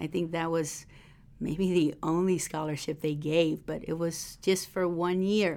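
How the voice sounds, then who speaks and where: A woman with an American accent speaks at a fairly slow pace, her fairly low pitch carrying a dark, mellow tone. Her intonation is monotone and flat, and the recording is very clean with a silent background. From Texas, Rio Grande Valley border area. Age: 40s. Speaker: missionary and minister's wife. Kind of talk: interview testimony.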